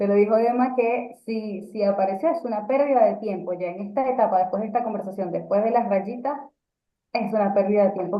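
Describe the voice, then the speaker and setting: A woman's ordinary speaking voice at a medium pitch, fairly quick, with ordinary pitch variation. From Venezuela. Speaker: radio announcer and communication coach. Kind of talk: casual interview chat.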